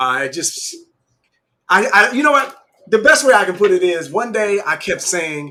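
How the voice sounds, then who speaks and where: Raised and projected, this bright, sharp voice moves at a moderate pace with very wide pitch swings and long, frequent pauses. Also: man, high pitch for a man. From Michigan, near Detroit. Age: 40s. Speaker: business owner. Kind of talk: interview.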